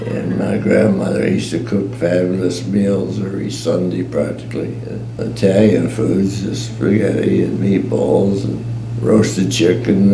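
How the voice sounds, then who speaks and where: The speaker moves at a fairly slow pace. Audible room echo and noticeable background noise fill the recording. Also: man. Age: 90s. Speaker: war veteran. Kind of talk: oral history interview. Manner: halting.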